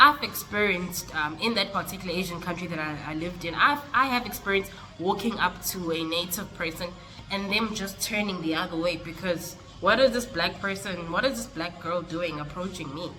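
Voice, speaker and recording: The voice moves at a fairly quick pace, with noticeable background noise and audible room echo. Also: woman, fairly low pitch for a woman, ordinary pitch variation. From South Africa. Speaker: vlogger. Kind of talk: casual vlog talk.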